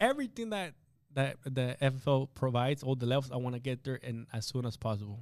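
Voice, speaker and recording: A man with a Spanish accent and a medium-pitched voice speaks at a very fast pace in a very clean recording with a silent background. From Guatemala. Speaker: insurance agent. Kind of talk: interview. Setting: studio. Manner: halting.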